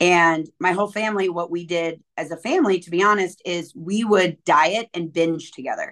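Against a quiet background, a woman with an ordinary speaking voice talks at a moderate pace in a fairly low pitch, her intonation fairly even, hardly any pauses, and big swings in loudness. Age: 40s. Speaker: fitness coach and motivational speaker. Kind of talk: interview conversation.

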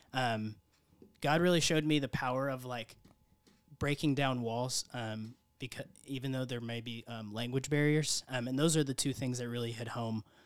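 A man talks at a moderate pace in an unremarkable speaking voice, medium in pitch with fairly even intonation, the sound dry and close with no echo. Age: 20s. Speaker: mission trip volunteer. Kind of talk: interview. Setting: studio.

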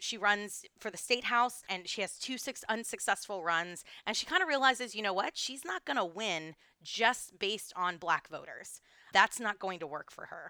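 A woman with an American accent, medium pitch, lively intonation, a bright, sharp tone, big swings in loudness, and a moderate pace. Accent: doesn't sound Texan to others. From Texas. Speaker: podcast co-host, tour guide. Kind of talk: casual history chat.

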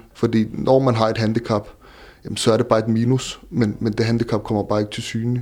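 This man has a medium pitch and a dark, mellow tone, delivered with monotone, flat intonation. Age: 30s. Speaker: entrepreneur with visual impairment. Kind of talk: interview. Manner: halting.

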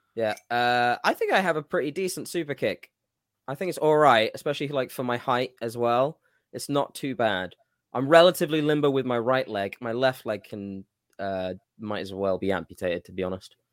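In a very clean recording with a silent background, a man of medium pitch speaks at a fairly quick pace with an animated tone and lively intonation. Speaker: podcast host and amateur wrestler. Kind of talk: casual banter podcast. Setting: live stream. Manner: joking, animated.

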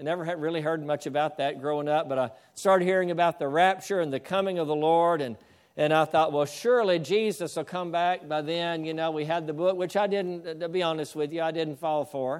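A man with a plain, everyday voice talks at a fairly quick pace and a fairly high pitch, in a very clean recording with a silent background. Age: 60s. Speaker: pastor. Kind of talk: sermon.

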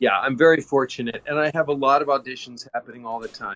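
Music plays in the background as a man with fairly high pitch talks at a fairly quick pace, the sound dry and close with no echo. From Kansas. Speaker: actor. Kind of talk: interview.

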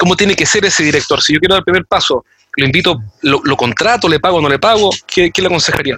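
A man speaks at a very fast pace with a high pitch. The sound is dry and close with no echo, and his loudness stays very even. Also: ordinary pitch variation. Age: 40s. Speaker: podcast host and sales trainer. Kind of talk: interview.

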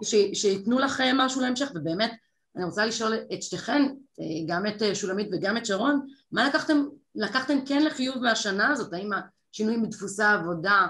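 This woman's voice is fairly high, with very wide pitch swings. She talks at a moderate pace. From Israel, kibbutz. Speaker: panel moderator, TV consumer reporter. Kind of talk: moderated panel discussion. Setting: event with online audience.

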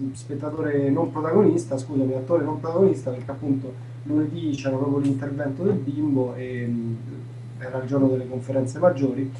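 With noticeable background noise and audible room echo, a medium-pitched man speaks at a fairly quick pace with fairly even intonation. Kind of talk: casual chat. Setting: video call. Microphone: audio glitches on call.

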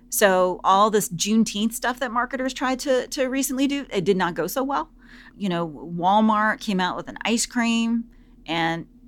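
Heard on a very clean recording over a silent background, a normal speaking voice keeps a moderate pace and uses lively intonation. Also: woman. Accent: American. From US South. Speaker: business professor. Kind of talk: interview.

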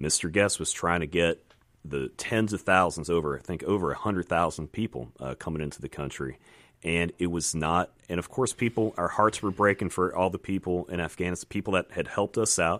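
In a very clean recording with a silent background and a dry, close sound with no echo, a man with an American accent talks at a fairly quick pace in a very deep, low pitch with vocal fry and ordinary pitch variation. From Virginia. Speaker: congressional candidate and former Navy pilot. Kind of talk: radio interview. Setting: radio studio.

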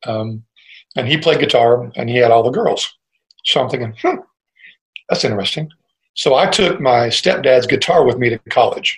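Somewhat breathy, a man talks at a moderate pace and medium pitch with ordinary pitch variation and long, frequent pauses. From US Midwest, Cleveland, Ohio. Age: old. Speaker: musician. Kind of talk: casual interview.

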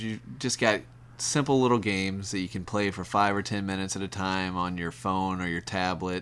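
An ordinary speaking voice belongs to this man, pitched fairly low and moving at a moderate pace. The recording is very clean, with a silent background. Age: 30s. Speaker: podcast guest, gamer. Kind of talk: casual chat.

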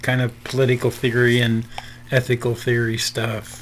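In a Midwestern accent, a man talks in a medium pitch with flat, monotone intonation. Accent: general Midwestern American. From Nebraska. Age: 70s. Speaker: pastor. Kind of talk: interview, conversational.

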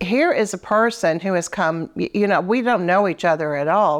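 A woman speaks at a medium pitch. It is a normal speaking voice. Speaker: animal rescue co-founder. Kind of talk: casual interview. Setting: in a living room.

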